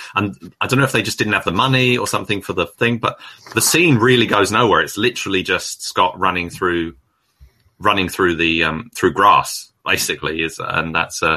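A man with an English accent, fairly low in pitch, bright and sharp in tone, with lively intonation at a moderate pace. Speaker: film podcast guest, reviewer. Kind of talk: casual chat. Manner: halting.

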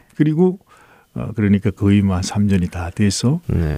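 A man speaks with a somewhat breathy, dark, mellow tone. His pitch swings very widely. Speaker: Salvation Army officer and church council president. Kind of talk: radio interview testimony.

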